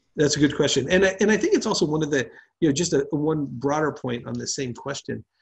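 A man with a fairly high pitch speaks at a very fast pace, with ordinary pitch variation. Vocal fry is audible against a quiet background. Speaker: economics professor. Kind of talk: academic seminar presentation. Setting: video call. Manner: fast talker.

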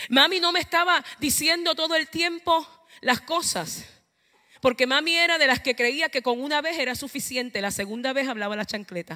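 Against a quiet background, a woman with a high pitch projects a raised voice in a bright, sharp tone, at a moderate pace with lively intonation. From Puerto Rico, eastern coast (Ceiba); Puerto Rico. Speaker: preacher. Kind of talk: sermon. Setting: church. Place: church. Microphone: handheld.

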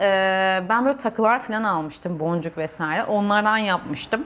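A woman speaks at a moderate pace. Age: 30s. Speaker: civil engineer and vlogger. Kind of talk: personal vlog monologue. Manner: hesitant, many fillers.

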